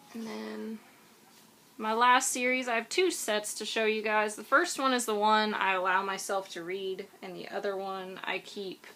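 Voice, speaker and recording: A woman speaks quietly at a fairly slow pace, her voice fairly high. Her tone is bright and sharp, with ordinary pitch variation. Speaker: book vlogger. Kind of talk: casual vlog talk to camera. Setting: home, recorded on iPad.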